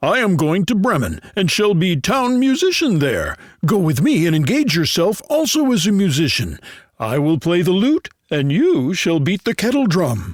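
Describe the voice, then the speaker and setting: A put-on character voice with very wide pitch swings, at a moderate pace. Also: man, high pitch for a man. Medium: read story.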